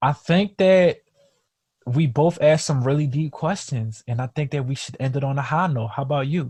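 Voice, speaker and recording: A man's fairly high, somewhat breathy voice at a moderate pace. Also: ordinary pitch variation. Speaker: podcast co-host. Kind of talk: casual chat. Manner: halting, repeated words.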